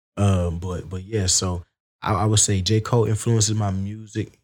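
A man talks in an Alabama accent with flat, monotone intonation. The recording is very clean and the background silent. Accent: Southern US, Alabama. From Alabama, US South (Wetumpka). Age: 20s. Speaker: rapper and singer. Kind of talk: casual chat.

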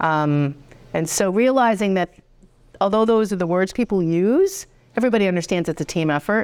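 A woman talks at a fairly quick pace in a normal speaking voice at a medium pitch, with ordinary pitch variation and very even loudness, on a very clean recording with a silent background. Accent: American. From Rhode Island, US. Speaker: college president. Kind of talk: casual interview chat.

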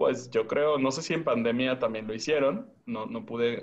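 At a moderate pace, a man talks in a normal speaking voice with a medium pitch and ordinary pitch variation. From Tijuana, Mexico. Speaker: podcast guest. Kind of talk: casual chat.

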